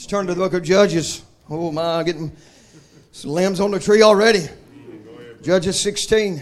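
A high-pitched man with a Southern US accent and an animated tone, at a moderate pace with long, frequent pauses. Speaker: preacher. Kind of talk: sermon. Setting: church. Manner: informal, humorous.

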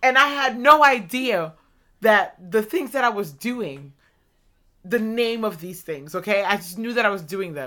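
Lively intonation and a bright, sharp tone mark this speech at a fairly slow pace. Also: woman, medium pitch for a woman.

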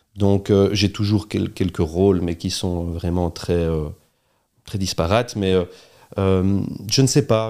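Dark and mellow in tone, a man's fairly low voice keeps a fairly even intonation on a very clean recording with a silent background. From Belgium, Charleroi region. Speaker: entrepreneur, restaurant chain co-founder. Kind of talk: interview conversation.

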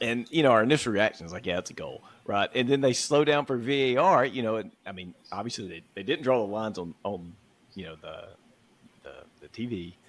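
A man speaks in a Southern US accent at a fairly quick pace. His pitch is medium, and his loudness swings widely. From US South, Mississippi. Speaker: football podcast co-host. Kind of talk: casual chat.

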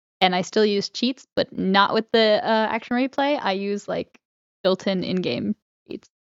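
A woman with a normal speaking voice talks fairly slowly at a fairly high pitch with ordinary pitch variation. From Connecticut, moved south around age seven. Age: 20s. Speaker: podcast co-host and cosplayer. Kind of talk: casual chat.

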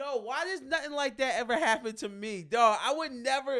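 Loud and extremely high-pitched, a man speaks at a moderate pace in a bright, sharp tone with ordinary pitch variation. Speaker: podcast co-host. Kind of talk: casual chat.

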